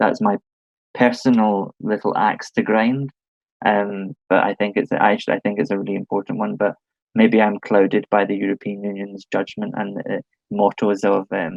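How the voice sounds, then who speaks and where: A fairly low-pitched male voice with a Scottish accent and fairly even intonation. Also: moderate pace. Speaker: panelist on diplomacy. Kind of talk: online panel discussion. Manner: halting, many fillers.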